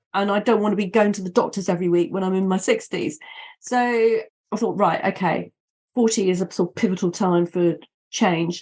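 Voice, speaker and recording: Somewhat breathy, a woman talks at a fairly quick pace broken by long, frequent pauses. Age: 50s. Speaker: wellness consultant. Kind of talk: interview.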